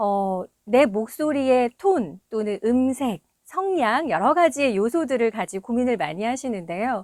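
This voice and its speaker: A woman's fairly high voice with very wide pitch swings, on a very clean, dry, close recording with no echo and a silent background. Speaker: voice coach and voice actor. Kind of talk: tutorial.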